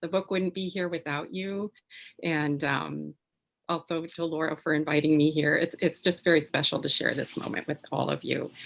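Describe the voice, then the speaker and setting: Very deep, low pitch from a woman, monotone and flat, with vocal fry and a moderate pace. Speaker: tarot author and writing presenter. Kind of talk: educational presentation. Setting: video call. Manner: soft-spoken.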